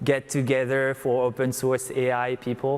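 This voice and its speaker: This is a man speaking. He talks with a French accent. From France. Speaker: tech startup co-founder. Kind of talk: onstage interview.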